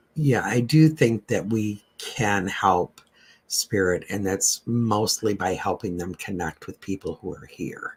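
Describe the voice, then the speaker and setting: Speaking very slowly with an American accent, a man with a fairly low, somewhat breathy voice shows ordinary pitch variation and big swings in loudness, in a dry, close sound with no echo. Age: 60s. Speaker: medium and paranormal radio co-host. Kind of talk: casual Q&A discussion.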